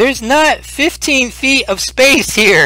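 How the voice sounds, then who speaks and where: With light background noise behind him, a man performs a put-on character voice at an extremely high pitch and a fairly slow pace. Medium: actual play.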